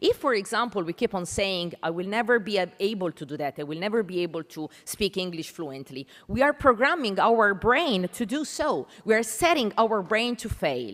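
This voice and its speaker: A woman at medium pitch speaks in an Italian accent at a moderate pace, with very wide pitch swings and hardly any pauses. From Italy. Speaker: panel moderator, English language educator. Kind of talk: conference panel introduction.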